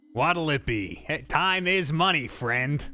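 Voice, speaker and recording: Putting on a character voice, a man speaks at a fairly slow pace and a fairly high pitch. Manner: brisk, impatient.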